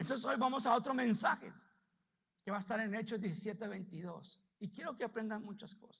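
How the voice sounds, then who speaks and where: A man talks at a fairly quick pace in a high pitch, with ordinary pitch variation and big swings in loudness. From United States. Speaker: pastor. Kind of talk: sermon.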